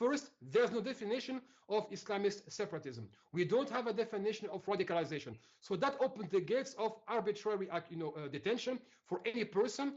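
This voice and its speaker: Very fast delivery with lively intonation. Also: man, high pitch for a man. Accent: French. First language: French. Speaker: civil rights activist. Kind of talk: interview. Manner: animated.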